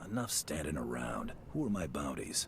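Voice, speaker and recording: Over clear background noise, a man puts on a character voice with a very deep, low pitch and keeps a moderate pace. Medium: video game.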